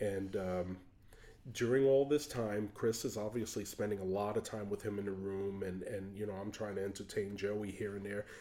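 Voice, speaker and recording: A man with an American accent, a dark, mellow tone and fairly even intonation. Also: fairly low pitch for a man, moderate pace. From New York. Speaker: teacher of the blind. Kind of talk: testimony.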